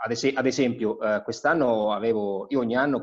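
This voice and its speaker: Against a quiet background, a man talks at a moderate pace, his medium-pitched voice keeping a fairly even intonation. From Marche, Italy. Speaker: homebrewer and body shop owner; interviewee. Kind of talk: casual interview; home brewery tour. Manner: halting, many fillers. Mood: relaxed, smiling. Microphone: video call.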